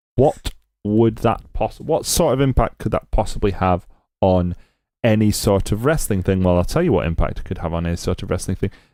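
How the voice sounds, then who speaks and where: In a Scottish accent, a man speaks with lively intonation in a dark, mellow, fairly low voice, recorded very cleanly against a silent background. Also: fairly quick pace. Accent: Scottish, put on more strongly here. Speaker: wrestling podcast host. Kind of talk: casual chat.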